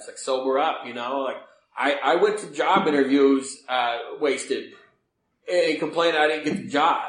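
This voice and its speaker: Fairly high-pitched man at a moderate pace, with audible room echo. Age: 40s. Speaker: AA main speaker sharing recovery story. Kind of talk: testimony. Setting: AA open speaker meeting with audience.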